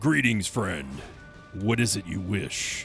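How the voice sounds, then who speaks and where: A man's put-on character voice, fairly low in pitch, over clear music in the background. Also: fairly slow pace. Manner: gruff, polite.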